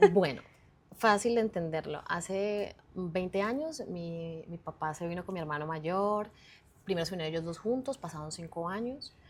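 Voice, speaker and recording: A woman's fairly low voice with a Colombian accent and ordinary pitch variation, on a very clean recording with a silent background. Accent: Colombian accent, kept deliberately. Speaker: communicator and personal brand expert. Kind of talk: interview. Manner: halting.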